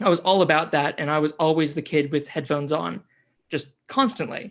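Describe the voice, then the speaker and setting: A man with an American accent in a plain, everyday voice, fairly high in pitch with ordinary variation, at a fairly quick pace, in a very clean recording with a silent background. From US Pacific Northwest, near Seattle; teens in New Zealand. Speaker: climate podcaster. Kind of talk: interview.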